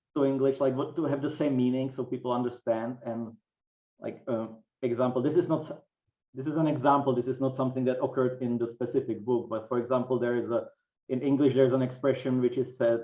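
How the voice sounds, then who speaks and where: In a monotone with flat intonation, a man talks at a very fast pace with a medium pitch. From Czech Republic. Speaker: author. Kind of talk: interview. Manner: halting.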